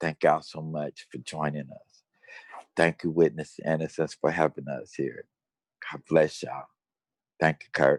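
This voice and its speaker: Dry and close with no echo, a voice with an American accent and vocal fry speaks at a moderate pace in a monotone, flat delivery, with big swings in loudness and long, frequent pauses. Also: man, very deep, low pitch for a man. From Cincinnati, Ohio, US Midwest. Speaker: death row exoneree, activist. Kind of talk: testimony.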